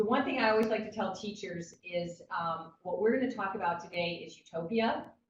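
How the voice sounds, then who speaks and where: Her voice sits at a medium pitch with ordinary pitch variation, and the woman speaks with hardly any pauses. Audible room echo surrounds the sound. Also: fairly quick pace. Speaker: education official and workshop leader. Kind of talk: online workshop presentation. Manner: fast.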